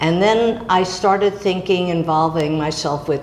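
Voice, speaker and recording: A woman speaks with an American accent. Audible room echo and noticeable background noise surround her voice. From New York. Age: 80s. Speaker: artist. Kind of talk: interview. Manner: halting.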